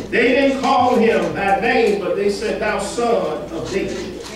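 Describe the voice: With audible room echo and clear background noise, a man speaks slowly in a high pitch with ordinary pitch variation.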